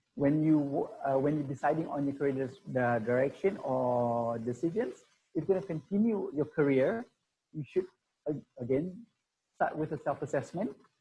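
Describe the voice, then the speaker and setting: A man speaks in a dark, mellow tone that is somewhat breathy. His pitch is fairly high and his intonation lively. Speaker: career consultant. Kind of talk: webinar presentation. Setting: online webinar. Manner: fast.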